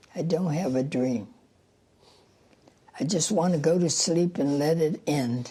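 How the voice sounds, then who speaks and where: In an American accent, a woman talks fairly slowly in a very deep, low voice with ordinary pitch variation, taking long, frequent pauses amid audible room echo. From Louisiana. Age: 80s+. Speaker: centenarian runner. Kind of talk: casual interview.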